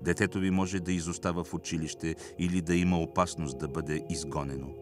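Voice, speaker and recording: Moderately paced speech from a man, backed by music. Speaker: actor, narrator. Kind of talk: audiobook reading of spiritual text.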